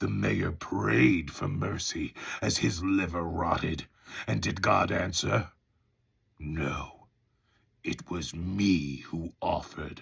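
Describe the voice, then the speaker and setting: A man in a put-on character voice, raspy and very deep in pitch, at a very slow pace with long, frequent pauses. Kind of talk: audiobook audition reading.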